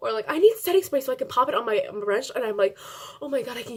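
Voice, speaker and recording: A woman talks at a very fast pace and loudly, with noticeable background noise behind her. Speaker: beauty vlogger. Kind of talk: casual chat.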